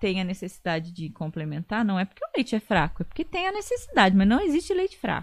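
A woman talks at a very fast pace with hardly any pauses, in a dry, close sound with no echo and a quiet background. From Bauru, São Paulo state, Brazil. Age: 30s. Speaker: lawyer and social media influencer. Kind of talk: casual interview chat.

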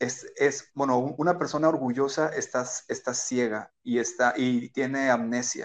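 Using an unremarkable speaking voice, a man talks fairly slowly at a fairly high pitch. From Mexico, Culiacán, Sinaloa. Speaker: pastor. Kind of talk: casual chat.

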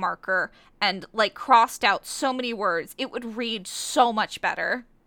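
The speaker does plain reading aloud, with ordinary pitch variation.

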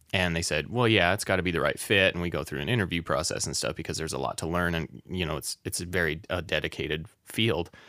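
With an American accent, a man talks at a very fast pace with hardly any pauses, his very deep, low pitch carrying vocal fry and a bright, sharp tone on a very clean recording with a silent background. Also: ordinary pitch variation. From Wyoming, US. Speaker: audio engineer. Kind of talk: casual interview chat. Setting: studio.

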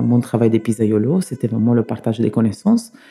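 Music plays in the background as the speaker talks at a moderate pace with an Italian accent. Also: man. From Sicily, Italy. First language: Italian (speaking French). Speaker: pizza chef. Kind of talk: interview. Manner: halting.

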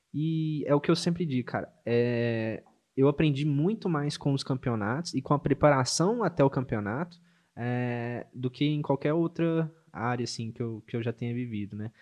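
This man has an ordinary speaking voice with a fairly high pitch. He keeps a moderate pace and ordinary pitch variation. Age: 20s. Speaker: barista and café manager. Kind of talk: casual chat with brewing demonstration. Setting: studio.

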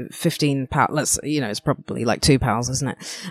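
In a dry, close recording with no echo, a woman speaks with a London accent. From northwest London, England. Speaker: stand-up comedian. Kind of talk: casual interview chat.

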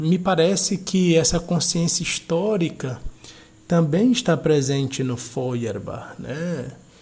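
With ordinary pitch variation, a man speaks very slowly while noticeable noise is heard in the background. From Ceará, Brazil (Fortaleza). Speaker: philosophy professor. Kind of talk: academic interview. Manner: formal.

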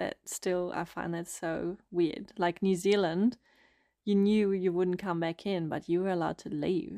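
On a very clean recording with a silent background, a woman speaks at a fairly slow pace in a dark, mellow tone, her fairly low pitch following fairly even intonation. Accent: German. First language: German. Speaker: podcast host. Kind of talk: casual chat.

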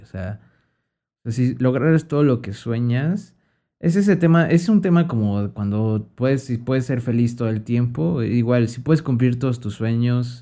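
Here a man speaks in a dark, mellow tone. The recording is very clean, with a silent background. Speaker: podcast co-host. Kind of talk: casual chat.

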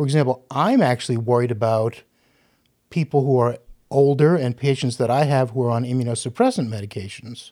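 A man's medium-pitched voice, a plain, everyday voice, at a fairly quick pace with fairly even intonation, on a very clean recording with a silent background. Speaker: gastroenterologist doctor. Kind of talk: medical explanation in panel discussion.

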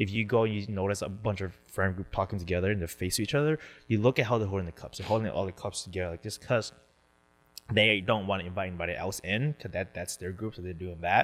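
On a very clean recording with a silent background, a man talks at a very fast pace in a fairly low voice with ordinary pitch variation. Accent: Southeast Asian. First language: Hmong. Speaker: public speaker and dancer. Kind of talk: casual chat.

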